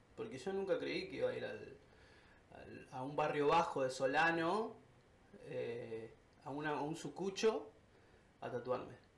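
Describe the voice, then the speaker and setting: With audible room echo, a man talks at a fairly slow pace in a high-pitched voice. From Argentina. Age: 30s. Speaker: tattoo artist. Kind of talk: casual interview.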